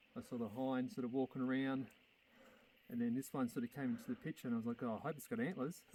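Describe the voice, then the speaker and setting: At a very fast pace, a man with an Australian accent talks in a dark, mellow tone at a medium pitch. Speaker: hunter. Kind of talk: casual chat. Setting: outdoors. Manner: animated.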